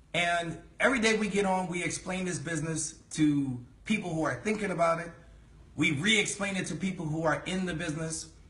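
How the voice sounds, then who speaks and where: Speaking very fast, a man with an American accent uses a high pitch, and audible room echo surrounds his voice. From New York City, the Bronx. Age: 40s. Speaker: network marketing leader. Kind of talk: sales pitch. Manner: animated.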